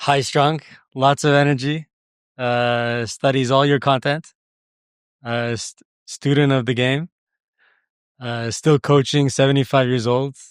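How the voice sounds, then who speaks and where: With a French accent, a man speaks at a fairly slow pace and medium pitch, in a monotone, flat intonation with long, frequent pauses. The recording is very clean with a silent background and a dry, close sound with no echo. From Quebec, Montreal. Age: young. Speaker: tennis coach. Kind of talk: casual podcast chat. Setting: studio table.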